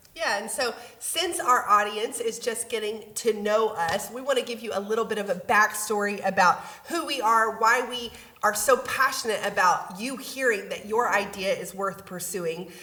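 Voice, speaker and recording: An American accent with ordinary pitch variation at a moderate pace. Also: woman, fairly high pitch for a woman. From West Texas. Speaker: podcast co-host, pastor. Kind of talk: casual chat.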